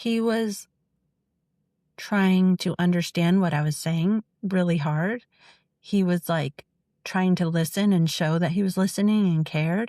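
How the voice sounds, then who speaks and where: In a very clean, dry, close recording with no echo and a silent background, a woman of medium pitch speaks in a dark, mellow tone at a fairly slow pace, with long, frequent pauses, very even loudness and fairly even intonation. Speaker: ex-cult member, author and advocate. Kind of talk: candid personal conversation. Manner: sometimes speaks slowly, thinking first; halting, many fillers.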